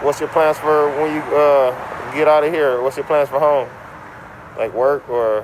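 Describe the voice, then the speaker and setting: A man with an American accent speaks at a fairly high pitch with fairly even intonation. Noticeable background noise runs under his voice. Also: fairly slow pace. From Los Angeles. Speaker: street interviewer. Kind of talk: street interview.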